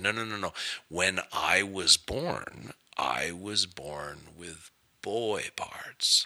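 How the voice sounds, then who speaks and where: A man puts on a character voice, very deep and low in pitch, delivered at a very slow pace. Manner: slow, calculated.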